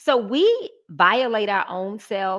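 With an Atlanta accent, the speaker talks over a quiet background. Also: woman. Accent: Southern US (Atlanta). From Atlanta, Georgia. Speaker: business strategist. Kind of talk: interview.

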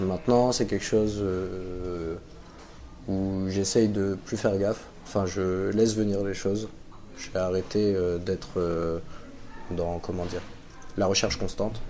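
A man speaks with a very deep, low pitch and a dark, mellow tone in a monotone, flat delivery at a fairly slow pace, with long, frequent pauses and audible room echo. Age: 20s. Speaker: web project manager and amateur DJ. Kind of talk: testimony. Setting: café.

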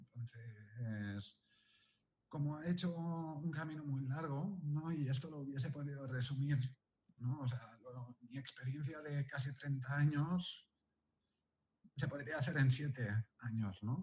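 Long, frequent pauses break up this man's very slow speech. His voice is fairly high and somewhat breathy, with ordinary pitch variation. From Catalonia, Spain (near Barcelona). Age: 40s. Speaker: pastry chef and teacher. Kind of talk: interview.

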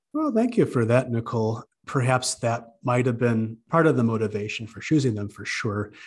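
A somewhat breathy man speaks at a medium pitch and moderate pace with hardly any pauses. His intonation is fairly even, and the recording is very clean with a silent background. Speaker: librarian, book club leader, commercial announcer. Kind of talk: casual conversational book discussion.

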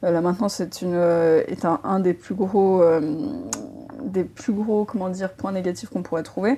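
A woman's medium-pitched voice with a dark, mellow tone and ordinary pitch variation. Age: 30s. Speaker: entrepreneur. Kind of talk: interview.

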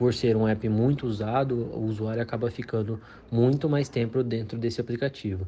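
A man's somewhat breathy, medium-pitched voice at a moderate pace, with fairly even intonation. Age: 20s. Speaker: senior software developer. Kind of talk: expert explanation.

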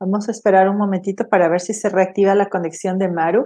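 At a moderate pace, a woman speaks in a medium pitch with a dark, mellow tone and monotone, flat intonation. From Ecuador. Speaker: podcast host. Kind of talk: interview. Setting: video call.

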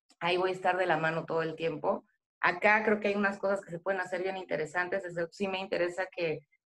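In a monotone, flat intonation, a woman talks at a fairly quick pace. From central Mexico, State of Mexico. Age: 40s. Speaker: beer industry professional. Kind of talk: casual chat.

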